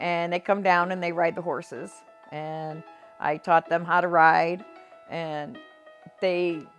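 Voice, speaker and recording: A woman's fairly low, flat, monotone voice at a fairly slow pace, with music in the background. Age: 60s. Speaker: patient with chronic lung disease. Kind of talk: patient testimonial interview.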